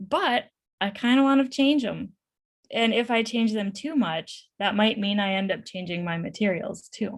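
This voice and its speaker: A woman speaks at a fairly high pitch with a somewhat breathy voice. The recording is very clean, with a silent background. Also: ordinary pitch variation. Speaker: professor. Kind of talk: Q&A after a conference presentation. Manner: fast.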